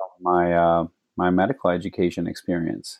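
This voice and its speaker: An ordinary speaking voice with an American accent, at a fairly slow pace. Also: man. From Phoenix, Arizona. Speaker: medical doctor. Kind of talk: interview conversation.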